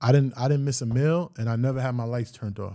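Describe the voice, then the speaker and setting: A man speaks at a fairly quick pace with a medium pitch and fairly even intonation. The recording is very clean, with a silent background. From Greenburgh, Westchester, New York. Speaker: media entrepreneur. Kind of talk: casual interview.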